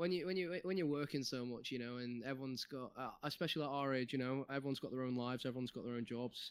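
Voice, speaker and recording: A man with a Mancunian accent at a very fast pace, hardly any pauses, medium pitch and ordinary pitch variation. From Manchester, England. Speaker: game QA tester. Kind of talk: casual chat.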